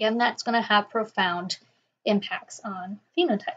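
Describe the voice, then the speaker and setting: A woman speaks at a fairly high pitch in a somewhat breathy voice. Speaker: professor. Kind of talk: lecture. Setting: quiet recording.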